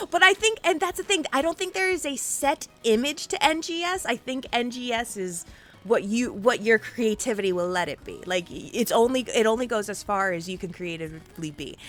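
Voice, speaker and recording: Over noticeable background noise, a woman with a high pitch speaks at a moderate pace in an animated tone, with big swings in loudness and very wide pitch swings. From Puerto Rico. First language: Spanish. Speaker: interview show host. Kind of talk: casual interview. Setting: live stream.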